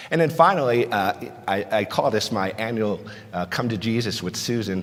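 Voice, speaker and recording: A man speaks with lively intonation at a fairly low pitch. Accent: slight New Jersey. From New Jersey. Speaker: pharmacist and conference speaker. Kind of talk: conference talk. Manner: conversational, frequent fillers.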